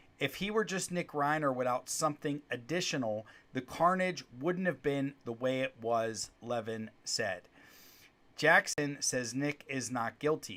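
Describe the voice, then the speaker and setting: The recording is very clean, with a silent background. A man speaks at a fairly high pitch in a bright, sharp tone. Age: 40s. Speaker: lawyer and legal commentary podcaster. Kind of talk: live-streamed commentary podcast. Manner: conversational with frequent fillers and restarts.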